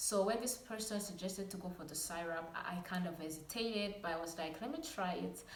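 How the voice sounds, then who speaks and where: The voice carries ordinary pitch variation, with noticeable background noise and audible room echo. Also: woman. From Rwanda. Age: 20s. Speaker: lifestyle vlogger. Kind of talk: casual vlog talk to camera. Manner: some stuttering.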